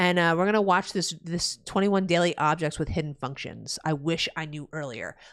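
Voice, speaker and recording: The recording is very clean with a silent background. A woman with a New Jersey accent talks at a fairly quick pace. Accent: New Jersey American. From New Jersey, USA. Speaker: gaming streamer. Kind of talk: casual live-stream chat. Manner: loud; animated.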